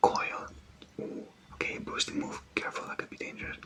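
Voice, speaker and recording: Someone whispers at a fairly quick pace amid noticeable background noise. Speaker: ASMR creator. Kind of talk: whispered ASMR game commentary. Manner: soft-spoken.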